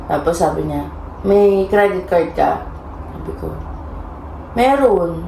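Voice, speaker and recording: The speech is very slow, with long, frequent pauses and big swings in loudness, over noticeable background noise and audible room echo. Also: woman. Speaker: vlogger. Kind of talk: casual storytelling. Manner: soft-spoken.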